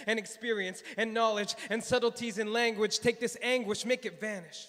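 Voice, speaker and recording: At a moderate pace, a man talks with a high pitch and a bright, sharp tone. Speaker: psychiatry resident. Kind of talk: slam poetry performance.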